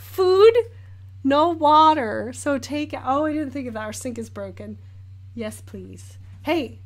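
With audible room echo, a woman with an American accent speaks with long, frequent pauses and big swings in loudness. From Northern California, Sacramento area. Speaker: artist and painting streamer. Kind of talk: live-stream chat while painting. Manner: animated.

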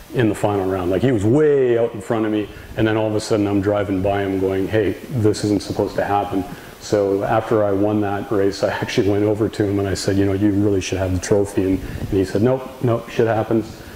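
Over light background noise and audible room echo, a man speaks at a fairly quick pace in a fairly low pitch. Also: fairly even intonation. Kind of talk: casual vlog chat. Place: garage. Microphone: camera far.

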